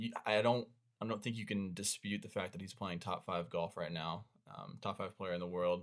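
In an ordinary speaking voice, a man talks at a fairly low pitch and a moderate pace with ordinary pitch variation. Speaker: podcast co-host, sports fan. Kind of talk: casual sports chat podcast.

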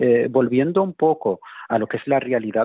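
Fairly quick speech with ordinary pitch variation. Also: man. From Spain. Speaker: political activist. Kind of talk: interview. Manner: halting, with repetitions and fillers.

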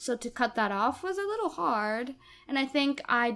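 Animated in tone, a woman speaks at a fairly slow pace. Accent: Japanese. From Japan. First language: Japanese. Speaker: musical theatre actress. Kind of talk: casual interview chat. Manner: animated, talkative, laughs often.

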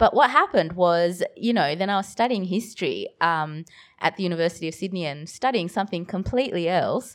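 Her medium-pitched voice carries an Australian accent and lively intonation as this woman speaks fairly quickly on a very clean recording with a silent background. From Bangladesh, raised in Australia from age seven. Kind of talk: live festival panel discussion. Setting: stage with live audience.

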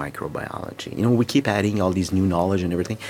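A man speaks with music playing in the background. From Quebec City, Canada. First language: French. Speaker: microbiologist. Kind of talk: interview. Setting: at a conference. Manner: halting, with repetitions.

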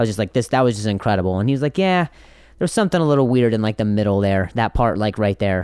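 Lively intonation with an American accent, in a dry, close sound with no echo. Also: man. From US Midwest (Indiana), teens in Las Vegas. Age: 20s. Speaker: comedian. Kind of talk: casual chat. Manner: halting, repeats words.

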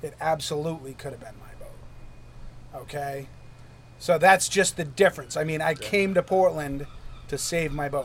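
An ordinary speaking voice, this man's has a fairly high pitch, an American accent, a moderate pace, and big swings in loudness. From New Hampshire, US. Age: 50s. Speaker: urchin diver and lobsterman. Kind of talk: interview. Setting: on a wharf.

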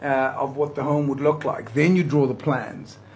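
A somewhat breathy man's voice, fairly high-pitched, at a moderate pace. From South Africa, Johannesburg (Riverlea). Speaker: motivational speaker. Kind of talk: radio interview. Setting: studio.

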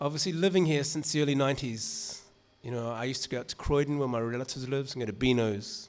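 On a very clean recording with a silent background, a man with a New Zealand accent talks at a medium pitch with ordinary pitch variation. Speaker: music writer and author. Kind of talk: reading and talk. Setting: stage with audience. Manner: casual.

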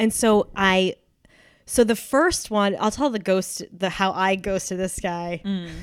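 With an American accent and a plain, everyday voice, a woman speaks at a medium pitch and a fairly slow pace, with ordinary pitch variation, in a very clean recording against a silent background. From New Hampshire, US. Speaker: actor. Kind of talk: casual chat. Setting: home studio.

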